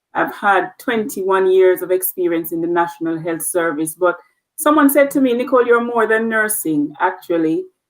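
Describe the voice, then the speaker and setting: In a Jamaican accent, a woman speaks at medium pitch and a moderate pace with lively intonation. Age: 40s. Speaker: nurse leader. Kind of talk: interview.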